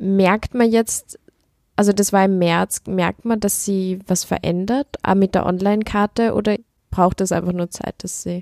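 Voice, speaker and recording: A woman talks in a normal speaking voice at medium pitch. Her intonation is fairly even, and the sound is dry and close with no echo. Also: fairly slow pace. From Upper Austria. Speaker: podcast host. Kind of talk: interview.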